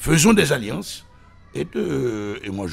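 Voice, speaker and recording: The voice moves through very wide pitch swings against noticeable background noise. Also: man. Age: 60s. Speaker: political commentator. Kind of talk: radio interview. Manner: animated.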